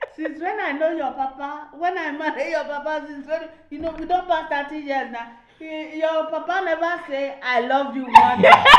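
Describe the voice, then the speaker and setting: At a moderate pace, the voice moves with fairly even intonation but big swings in loudness, over noticeable background noise. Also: woman, high pitch for a woman. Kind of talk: casual podcast conversation.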